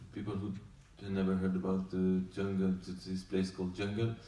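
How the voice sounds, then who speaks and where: Audible room echo fills the space. The tone is dark and mellow. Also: man. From France. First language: French. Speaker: documentary director. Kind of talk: post-screening Q&A. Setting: festival screening with audience. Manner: halting.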